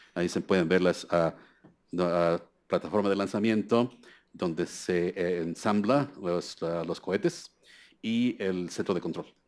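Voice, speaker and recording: A man with a very deep, low pitch, a fairly slow pace, ordinary pitch variation and long, frequent pauses. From Mexico. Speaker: scientist at a US federal agency; lecturer. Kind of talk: keynote lecture. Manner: halting, many fillers. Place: hall.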